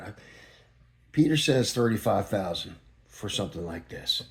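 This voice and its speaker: A man is speaking. His voice is somewhat breathy. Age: 60s. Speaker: guitar builder. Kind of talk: casual show-and-tell talk. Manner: animated.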